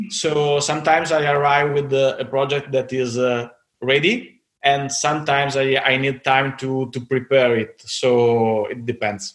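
Someone with an Italian accent talks at a fairly slow pace with fairly even intonation. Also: man, fairly high pitch for a man. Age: 30s. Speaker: knife designer. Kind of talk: interview. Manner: halting.

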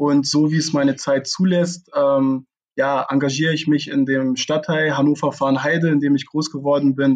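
With a plain, everyday voice, a man of fairly high pitch speaks at a moderate pace. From Lower Saxony, Germany (Braunschweig). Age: 20s. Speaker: amateur football club director. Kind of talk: interview. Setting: video call from home.

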